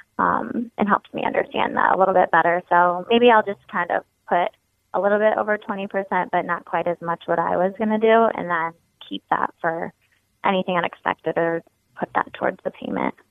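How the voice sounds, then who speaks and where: At a fairly quick pace, a woman with a medium pitch speaks in an ordinary speaking voice. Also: ordinary pitch variation. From Ohio. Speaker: caller. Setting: phone call.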